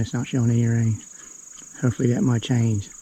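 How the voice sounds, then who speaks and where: Amid noticeable background noise, a man speaks at a fairly quick pace with fairly even intonation. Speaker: homesteader vlogger. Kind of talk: casual vlog narration. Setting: outdoors. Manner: whispering at times.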